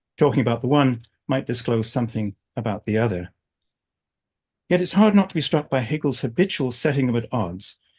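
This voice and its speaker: A man's somewhat breathy, medium-pitched voice with an American accent and lively intonation, at a fairly quick pace broken by long, frequent pauses, over a quiet background. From England. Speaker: philosophy professor. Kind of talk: academic lecture. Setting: video call.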